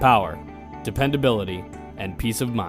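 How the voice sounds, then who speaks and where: A man speaks at a fairly quick pace and medium pitch. Music plays in the background. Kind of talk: TV commercial read.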